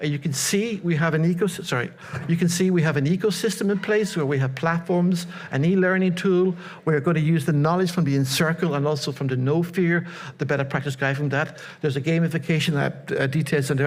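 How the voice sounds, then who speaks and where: A man speaks very fast at a fairly high pitch, his loudness very even. Room echo is audible. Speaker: conference presenter. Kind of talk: conference presentation. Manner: repetitive stammering.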